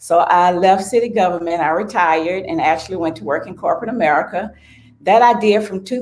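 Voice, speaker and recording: With an Alabama accent, a woman talks at a fairly quick pace and medium pitch, her pitch varying in an ordinary way. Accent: Southern US (Alabama). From US South, Selma, Alabama. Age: 60s. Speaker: small business owner. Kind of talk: interview.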